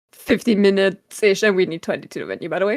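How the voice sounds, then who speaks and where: A woman speaks with a German accent at a fairly quick pace and medium pitch. The recording is very clean, with a silent background. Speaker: podcast co-host. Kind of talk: casual chat.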